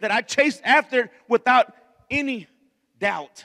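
In a raised, projected voice, a man speaks at an extremely high pitch with a bright, sharp tone, ordinary pitch variation and a moderate pace, the background quiet. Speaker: preacher. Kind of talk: sermon. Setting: church. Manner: animated. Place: church. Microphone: handheld.

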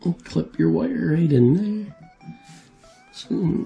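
A man talks while faint music sits in the background. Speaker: hobbyist radio channel host. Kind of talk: tutorial. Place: workshop.

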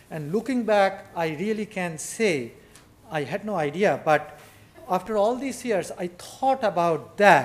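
At a fairly slow pace, a man with a high pitch speaks in lively intonation. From India. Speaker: photographer and writer; speaker. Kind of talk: lecture. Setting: stage with audience. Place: hall. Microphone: podium.

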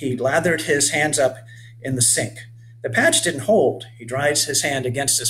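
Someone reads aloud naturally, the pitch rising and falling in an ordinary way.

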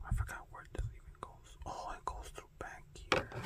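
The whispering unfolds at a fairly slow pace. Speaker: ASMR creator. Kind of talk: ASMR whispering while handling toys. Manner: whispered.

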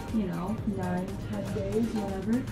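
Over clear background music, a woman speaks at a fairly slow pace. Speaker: vlogger. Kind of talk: casual vlog chat. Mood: frustrated, wry. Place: kitchen. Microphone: camera far.

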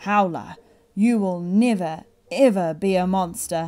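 A booming, put-on character voice, female-sounding and middle-pitched, at a fairly slow pace.

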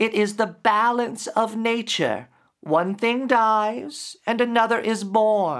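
A man uses a put-on character voice at a high pitch and a fairly slow pace, with hissing. The recording is very clean, with a silent background. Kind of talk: dramatic story reading. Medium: read story. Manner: hissing then warm. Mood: philosophical.

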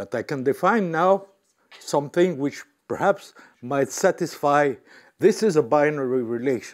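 A man at a fairly high pitch, lively intonation and a moderate pace, with long, frequent pauses against a quiet background. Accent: French. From France. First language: French. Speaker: mathematician giving a talk. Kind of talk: lecture. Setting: lecture hall with audience. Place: hall.

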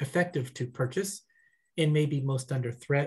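A man's voice comes across somewhat breathy. The background is quiet. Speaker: executive director of a nonprofit. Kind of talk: welcome remarks. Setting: video call. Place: home room. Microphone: headset.

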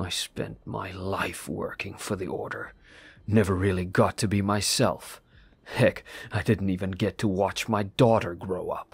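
A man's put-on character voice, fairly low in pitch and weary in tone, at a moderate pace on a very clean recording with a silent background. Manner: curt, dry, world-weary.

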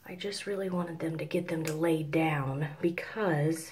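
A soft-spoken voice comes through noticeable background noise. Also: woman. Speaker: hair tutorial vlogger. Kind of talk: hair tutorial talk to camera. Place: home room. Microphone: phone near.

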